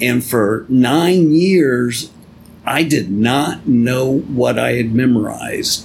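Over noticeable background noise, a man of medium pitch talks at a very slow pace with lively intonation. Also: very even loudness. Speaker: podcast host and Bible teacher. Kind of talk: religious teaching podcast, casual with spoof intro.

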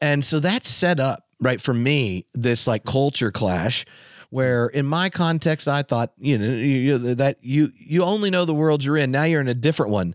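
A man with an American accent speaks in an ordinary speaking voice, fairly high-pitched, at a moderate pace, with lively intonation, very even loudness and a dry, close sound with no echo. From North Carolina, US South. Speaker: theologian and podcaster. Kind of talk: casual chat. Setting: video call.

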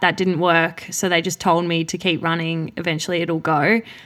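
A woman with an Australian accent and a bright, sharp tone, in a very clean recording with a silent background. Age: 20s. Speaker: professional middle distance runner. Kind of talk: casual interview. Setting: home studio in a living room.

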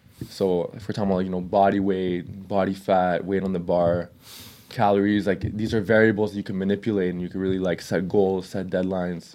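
In a very deep, low voice with a dark, mellow tone, a man speaks at a fairly quick pace. His intonation is flat and monotone. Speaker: fitness coach and YouTuber. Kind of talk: casual chat.

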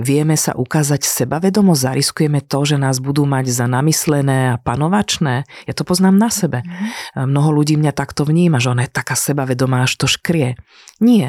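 Speaking at a fairly quick pace, this woman has a very deep, low pitch. Her voice sits very low throughout. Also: ordinary pitch variation, dry, close sound with no echo. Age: 40s. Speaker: executive coach. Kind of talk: interview.

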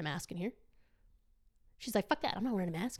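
This woman talks loudly in an animated tone, her medium-pitched voice carrying lively intonation. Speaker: podcast guest, traveler. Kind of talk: casual chat.

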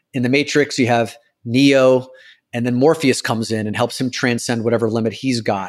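On a very clean recording with a silent background, a man talks at a fairly quick pace in a medium pitch, with an unremarkable speaking voice. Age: 40s. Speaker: author and speaker. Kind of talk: casual interview conversation.

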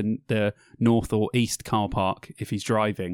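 The recording of a man at medium pitch has a dry, close sound with no echo. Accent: English. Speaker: podcast co-host. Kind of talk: casual chat. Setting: video call. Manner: animated.

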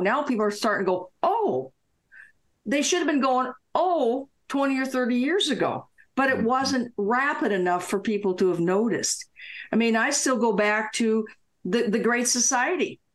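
A woman with a fairly high pitch and an ordinary speaking voice talks at a moderate pace, her intonation lively and her loudness very even. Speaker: retired attorney. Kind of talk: casual talk show interview. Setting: video call.

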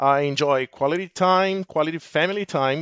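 A man with a Portuguese accent and ordinary pitch variation. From Brazil. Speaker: technical account manager. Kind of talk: casual chat.

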